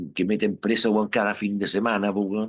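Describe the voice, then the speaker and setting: Male voice, fairly low in pitch, at a moderate pace. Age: 60s. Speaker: rock musician. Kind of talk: interview. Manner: casual, hesitant with fillers.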